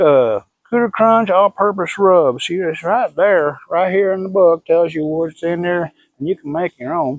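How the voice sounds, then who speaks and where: A man with lively intonation at a moderate pace. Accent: Southern US. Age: 60s. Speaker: BBQ pitmaster. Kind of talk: tutorial. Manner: casual, folksy.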